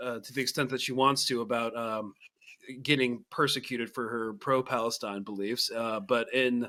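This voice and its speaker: A man with an American accent, a bright, sharp tone and a moderate pace. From Texas. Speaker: podcast host. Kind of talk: podcast interview. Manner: halting, many stutters.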